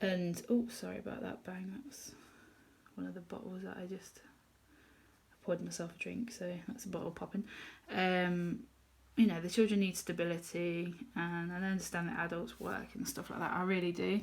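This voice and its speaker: A woman at medium pitch and a moderate pace takes long, frequent pauses. Her somewhat breathy voice shows ordinary pitch variation and big swings in loudness. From England. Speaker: colouring youtuber. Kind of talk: casual chat. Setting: home kitchen.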